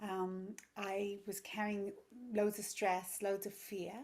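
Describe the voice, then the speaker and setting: A woman is speaking. She has an English accent. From England. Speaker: yoga teacher and parenting coach. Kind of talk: podcast interview.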